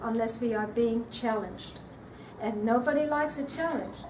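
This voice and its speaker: Her voice high in pitch for a woman, she talks at a moderate pace with ordinary pitch variation amid audible room echo. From Australia. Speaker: nutrition speaker. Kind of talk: talk to an audience. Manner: hesitant, repeats words.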